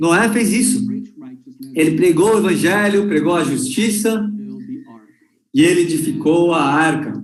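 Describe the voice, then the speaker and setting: Lively intonation from a high-pitched man at a fairly slow pace, with audible room echo. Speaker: conference speaker or interpreter. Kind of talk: sermon. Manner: slow, deliberate.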